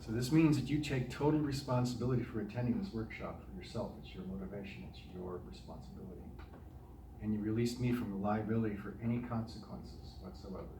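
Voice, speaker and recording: With noticeable background noise and audible room echo, a man with an American accent talks at a very fast pace in a medium pitch, his intonation lively and his loudness swinging widely. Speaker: breathwork workshop facilitator, assistant therapist. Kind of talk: workshop instruction. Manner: hesitant, many fillers.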